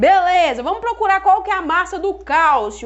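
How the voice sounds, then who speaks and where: At a moderate pace, a woman speaks with an extremely high pitch. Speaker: chemistry teacher. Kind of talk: live online lesson. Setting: Instagram live stream.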